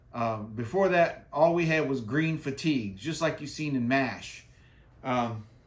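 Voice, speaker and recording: Amid audible room echo, a man with an American accent speaks fairly slowly in a fairly high pitch. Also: ordinary pitch variation. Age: 60s. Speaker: skating vlogger, military veteran. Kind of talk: casual tutorial. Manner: casual, repetitive with fillers.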